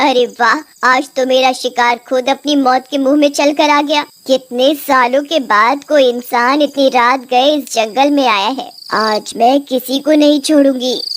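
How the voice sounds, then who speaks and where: A woman puts on a cartoonish character voice with a high pitch. She goes at a moderate pace. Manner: menacing, gloating.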